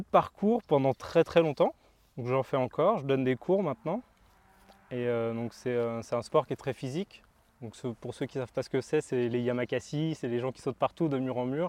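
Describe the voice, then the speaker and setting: Pausing long and often, a man speaks at a moderate pace and medium pitch with ordinary pitch variation and big swings in loudness, recorded dry and close with no echo. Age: 20s. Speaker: gardener and former reality TV contestant. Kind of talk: casual interview. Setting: outdoors.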